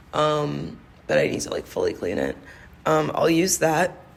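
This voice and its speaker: Audible room echo surrounds a woman speaking at a fairly slow pace in a very deep, low voice. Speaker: skincare podcast host. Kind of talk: casual solo monologue. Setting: office conference room. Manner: hesitant, many fillers.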